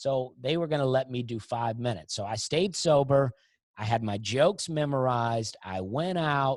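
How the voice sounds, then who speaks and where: Recorded dry and close with no echo against a silent background on a very clean recording, a man with a medium pitch and an American accent speaks at a moderate pace with lively intonation. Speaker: comedian. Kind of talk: podcast interview. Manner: casual, storytelling.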